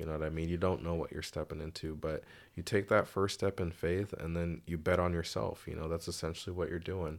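Recorded very cleanly against a silent background, a man with an American accent and a very deep, low pitch talks at a fairly quick pace with fairly even intonation. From Seattle area, Washington (US Pacific Northwest). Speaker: barber and small business owner. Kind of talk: casual interview chat.

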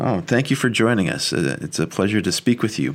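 In an ordinary speaking voice, a man with a fairly low pitch speaks at a moderate pace with lively intonation. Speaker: podcast host. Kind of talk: interview.

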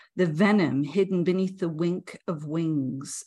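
At a fairly slow pace, a woman speaks in a fairly low pitch. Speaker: poetry editor. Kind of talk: poem performed. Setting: video call. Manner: animated, playful, sing-song reading aloud.

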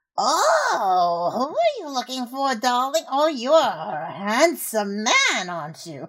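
A put-on character voice, raspy and fairly high, jumps through very wide pitch swings. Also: fairly slow pace. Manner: coy, flirtatious.

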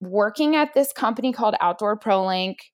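The woman sounds energetic, with a fairly high pitch and ordinary pitch variation. The recording is very clean, with a silent background. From Pittsburgh, Pennsylvania, US. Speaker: head of marketing. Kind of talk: casual interview chat. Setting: home office.

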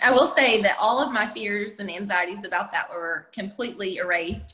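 The delivery keeps a moderate tempo. It is an ordinary speaking voice. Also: woman. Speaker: working homeschool mom. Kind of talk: casual interview chat.

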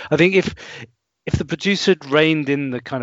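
With ordinary pitch variation and a moderate pace, the man has an ordinary speaking voice. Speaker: music podcast guest. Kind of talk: casual conversation about an album.

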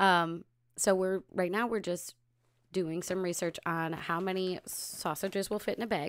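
Speaking with an American accent, a woman uses an ordinary speaking voice at medium pitch, with fairly even intonation and a fairly slow pace. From upstate New York. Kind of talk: casual live Q&A chat.

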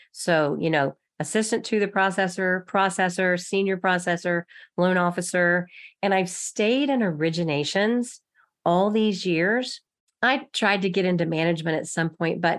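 A woman talks at a fairly slow pace in a plain, everyday voice, pitched at a medium level with ordinary pitch variation. The recording is very clean, with a silent background. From Texas. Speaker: loan officer. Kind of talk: interview.

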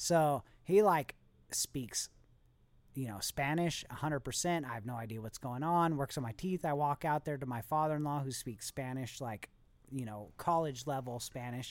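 A moderate pace in an American accent, on a very clean recording with a silent background. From Southern California. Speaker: guest. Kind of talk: casual chat. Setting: studio.

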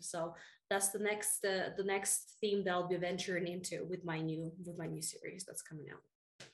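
With a Russian accent, a woman of medium pitch talks at a moderate pace in a monotone, flat intonation, her loudness swinging widely. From Russia, moved to the US at 13. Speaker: fantasy author. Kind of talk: casual interview.

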